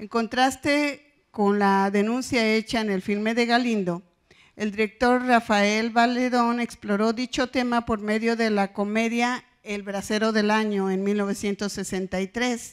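Speaking very slowly with fairly even intonation, a woman has a fairly high pitch against a quiet background. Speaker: professor; conference presenter. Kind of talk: academic conference talk. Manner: serious, formal. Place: hall.

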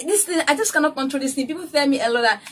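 A woman speaks with a high pitch and a bright, sharp tone. Her intonation is lively. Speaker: hair care vlogger. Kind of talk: tutorial. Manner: fast. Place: home room. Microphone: phone near.

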